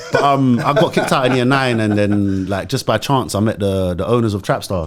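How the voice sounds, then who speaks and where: This man talks with a London accent at a fairly quick pace. His pitch sits in the medium range and varies in an ordinary way. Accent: London multicultural English. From West London, Moroccan family. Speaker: music artist and actor. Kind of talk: casual chat. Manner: animated.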